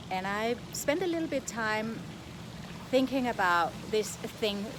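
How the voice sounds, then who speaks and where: Lively intonation marks this woman's fairly high voice. She speaks at a fairly slow pace with a Danish accent. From Denmark. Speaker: coach / online content creator. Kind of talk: casual vlog monologue. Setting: outdoors.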